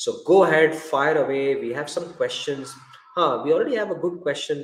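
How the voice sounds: A man talks at a moderate pace with lively intonation, and room echo can be heard.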